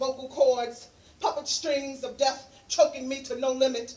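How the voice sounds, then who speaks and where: A woman with an American accent at a fairly slow pace. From New York, Harlem. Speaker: poet and peer specialist. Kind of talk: spoken word poetry performance; casual talk to audience.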